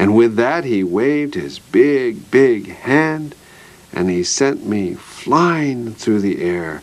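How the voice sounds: The clip features a natural reading voice.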